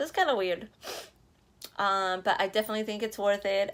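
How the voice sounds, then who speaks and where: A woman with a slight Spanish accent, fairly high-pitched and fairly quick. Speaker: vlogger. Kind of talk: casual vlog. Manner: casual, filler-heavy.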